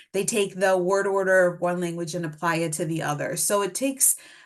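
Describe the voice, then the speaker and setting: A woman's medium-pitched voice in a Spanish accent at a moderate pace. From Mexico City, then US from age nine. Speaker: speech-language pathologist presenter. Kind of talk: webinar lecture.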